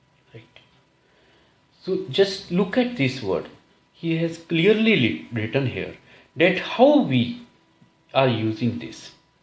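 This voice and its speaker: This man speaks at a very slow pace with long, frequent pauses and audible room echo. His pitch is fairly high and swings very widely. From India. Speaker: English test coach. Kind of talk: tutorial.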